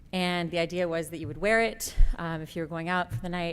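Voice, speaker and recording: A shaky woman's voice, fairly low in pitch, at a moderate pace with ordinary pitch variation, on a very clean recording with a silent background. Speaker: MBA student, award winner. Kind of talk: award acceptance speech. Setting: stage at conference. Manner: shaky voice.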